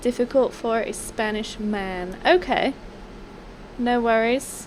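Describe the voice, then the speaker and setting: A soft-spoken woman with a fairly high pitch. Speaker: video game streamer. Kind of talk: live stream commentary. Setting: live stream.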